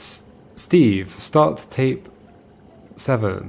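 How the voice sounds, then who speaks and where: With lively intonation, a man is talking. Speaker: video game streamer. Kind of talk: casual chat while reading game dialogue aloud.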